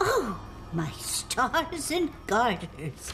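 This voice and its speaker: A female-sounding, put-on character voice rings out at a high pitch. Background noise is clearly present. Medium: short film. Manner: warm, folksy, old-fashioned endearments.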